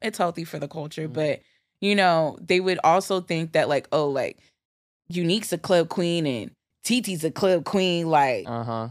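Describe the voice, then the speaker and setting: Recorded very cleanly over a silent background, a woman with an American accent and a fairly low pitch talks at a moderate pace with lively intonation. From Newark, New Jersey. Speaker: DJ and music producer. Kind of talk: casual interview chat.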